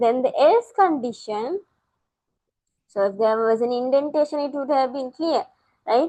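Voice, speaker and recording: A woman speaks in a high pitch with a dark, mellow tone and lively intonation. She leaves long, frequent pauses. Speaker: ICT teacher. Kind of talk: tutorial. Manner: slow.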